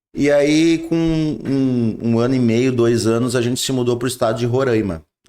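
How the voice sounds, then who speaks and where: Keeping his loudness very even, a man speaks with a dark, mellow tone. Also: medium pitch for a man, ordinary pitch variation, moderate pace. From southern Brazil, Rio Grande do Sul (São Leopoldo). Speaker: pastor. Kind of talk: interview testimony. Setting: studio. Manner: halting.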